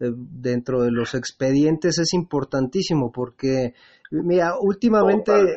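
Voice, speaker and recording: In a Mexican accent, a man speaks at a very slow pace with a fairly high pitch and ordinary pitch variation. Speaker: radio host. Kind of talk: interview. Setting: at home.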